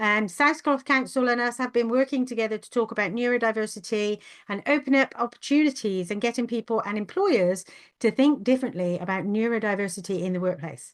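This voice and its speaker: At a fairly quick pace, a woman with a fairly high pitch speaks in a plain, everyday voice. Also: ordinary pitch variation. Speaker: webinar host, neurodiversity consultant. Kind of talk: webinar presentation. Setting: video call webinar.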